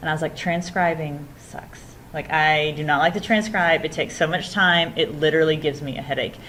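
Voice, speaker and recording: With audible room echo, a woman talks at a fairly quick pace in a very deep, low pitch with fairly even intonation. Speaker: instructor. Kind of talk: lecture. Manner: fast.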